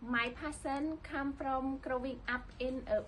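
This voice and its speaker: A woman speaks at a very slow pace in a Cambodian accent. Her voice is high-pitched. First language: Khmer. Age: 20s. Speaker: livestock management student. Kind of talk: scripted internship application video.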